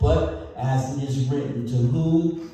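A very slow male voice with ordinary pitch variation and strong room echo. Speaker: pastor. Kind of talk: sermon. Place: church.

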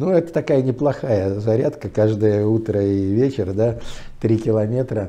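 A man's fairly low, dark and mellow voice, very slow, with ordinary pitch variation. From Pskov region, Russia. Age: 70s. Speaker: public speaker, author, former officer. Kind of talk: interview, storytelling. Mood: warm, reminiscing. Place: home room. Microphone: lapel.

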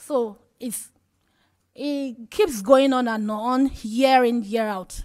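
Speaking very slowly with a Nigerian accent, a woman uses a high pitch, ordinary pitch variation and big swings in loudness over a quiet background. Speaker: radio journalist, health advocate; radio journalist. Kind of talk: panel discussion. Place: hall. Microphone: podium.

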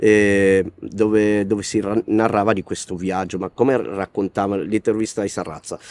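A fairly low male voice with a dry sound and no echo. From Italy. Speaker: rapper; interviewee. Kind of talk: interview. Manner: halting. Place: street.

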